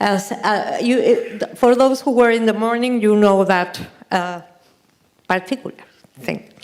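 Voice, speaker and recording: A woman's fairly high voice, ordinary in pitch variation, at a fairly slow pace with long, frequent pauses. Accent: non-native. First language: Spanish. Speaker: artist and photographer. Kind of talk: lecture. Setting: stage with audience. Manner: halting.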